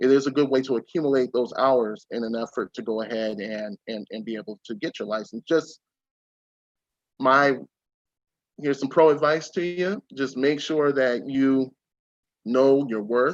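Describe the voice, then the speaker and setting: Dry and close with no echo, a man's medium-pitched voice moves at a moderate pace with ordinary pitch variation and long, frequent pauses. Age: 30s. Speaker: private investigator. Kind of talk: webinar interview.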